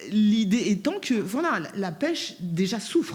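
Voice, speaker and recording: A woman talks at a very slow pace in a somewhat breathy voice. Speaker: round table panelist. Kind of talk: panel discussion. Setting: conference with interpreters.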